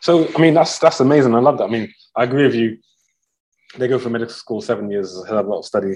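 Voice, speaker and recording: A man with a London accent at a very fast pace. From northwest London. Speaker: podcast host and coach. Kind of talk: casual interview. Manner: frequent fillers.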